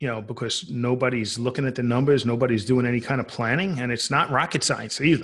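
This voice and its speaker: In a New York accent, a man talks at a very fast pace with hardly any pauses. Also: medium pitch for a man, ordinary pitch variation. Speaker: accountant and tax coach. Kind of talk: casual interview.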